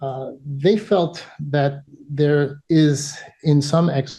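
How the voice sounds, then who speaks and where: A man with a New York accent speaks at a fairly high pitch, his dark, mellow tone somewhat breathy against a quiet background. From US Northeast (New York). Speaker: emergency physician and PhD candidate presenting research. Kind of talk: academic presentation.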